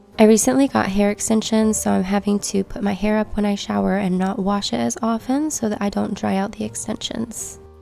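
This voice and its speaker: Fairly quick woman's voice at medium pitch, with music in the background. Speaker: lifestyle vlogger. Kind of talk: casual talk to camera.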